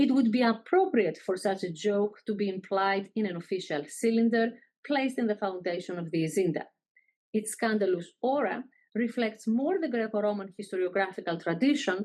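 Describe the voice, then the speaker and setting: A woman's unremarkable speaking voice, medium in pitch, at a moderate pace. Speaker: professor. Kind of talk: lecture.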